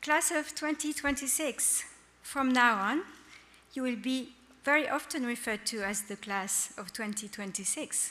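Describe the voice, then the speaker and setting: A woman with a French accent speaks at a fairly slow pace in a high pitch. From France. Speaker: high school principal. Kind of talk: ceremony speech. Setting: school ceremony with audience.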